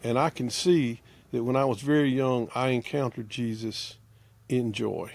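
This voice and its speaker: In a normal speaking voice, a man of medium pitch talks at a moderate pace with fairly even intonation on a very clean recording with a silent background. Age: 60s. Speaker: theologian and preacher. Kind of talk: casual chat.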